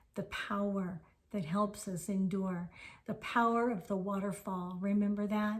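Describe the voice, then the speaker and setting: A somewhat breathy woman's voice at medium pitch, fairly slow and monotone with flat intonation. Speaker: spiritual teacher. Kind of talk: spiritual talk.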